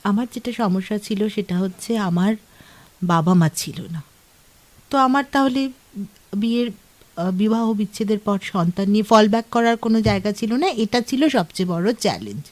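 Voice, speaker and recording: A woman uses a normal speaking voice at fairly high pitch with ordinary pitch variation, heard in a dry, close sound with no echo. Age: 50s. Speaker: author. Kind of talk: radio interview. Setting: radio studio.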